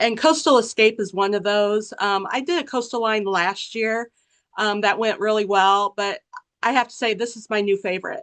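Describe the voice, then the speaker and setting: Against a quiet background, a woman with a fairly high pitch speaks in a bright, sharp tone, using ordinary pitch variation. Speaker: fabric designer and artist. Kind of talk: product presentation.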